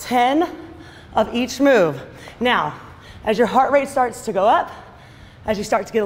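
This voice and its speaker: With an energetic tone, a woman speaks in a high pitch with ordinary pitch variation. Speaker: fitness instructor. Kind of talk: workout class instruction. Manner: energetic, encouraging. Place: gym.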